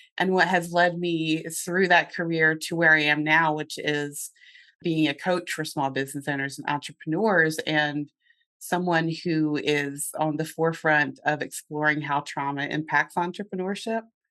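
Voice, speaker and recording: With a slight Southern US accent, a woman speaks at a moderate pace in a very deep, low pitch, her tone bright and sharp and her intonation fairly even. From US South, North Carolina. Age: 50s. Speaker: business coach and therapist. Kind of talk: podcast interview.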